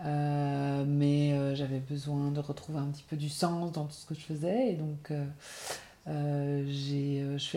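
A woman's very deep, low voice, dark and mellow, at a very slow pace. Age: 40s. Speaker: freelance graphic designer, cooperative member. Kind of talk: interview. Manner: halting, many repetitions and fillers.

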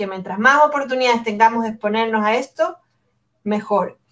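This woman's intonation is fairly even. Her voice is pitched fairly high. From Ecuador, Guayaquil. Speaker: anthropologist and education innovator. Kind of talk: interview conversation.

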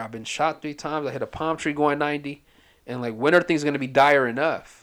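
At a moderate pace, a man speaks in an unremarkable speaking voice, fairly high with ordinary pitch variation, on a very clean recording with a silent background. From US, raised from age two by Ethiopian/Eritrean immigrant parents. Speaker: drug counselor. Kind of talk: casual chat.

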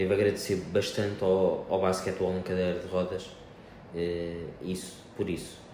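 A man speaks at a moderate pace with a very deep, low pitch and monotone, flat intonation, and the room echo is audible. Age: 20s. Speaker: hemodialysis patient, wheelchair athlete. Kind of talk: interview. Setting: hemodialysis clinic. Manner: hesitant.

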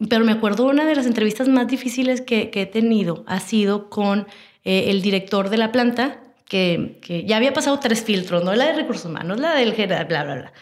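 A woman talks at a fairly quick pace. Her fairly high voice has lively intonation. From Monterrey, Mexico. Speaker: communications professional and entrepreneur. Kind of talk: interview.

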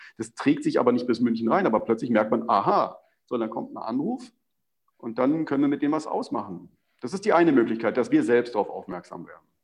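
Big swings in loudness mark this man's speech, delivered at a fairly quick pace. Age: 40s. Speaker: sports TV presenter. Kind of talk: interview.

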